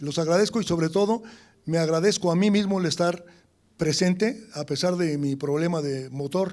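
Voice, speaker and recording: Here a man talks with a high pitch. His pace is moderate and his pitch variation ordinary. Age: 80s+. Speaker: architect, academy representative. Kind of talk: ceremonial speech.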